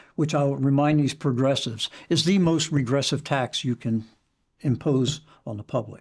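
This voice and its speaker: Somewhat breathy and fairly high-pitched, a man with an American accent talks at a moderate pace with ordinary pitch variation. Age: 80s+. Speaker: former county council chairman. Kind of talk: political interview.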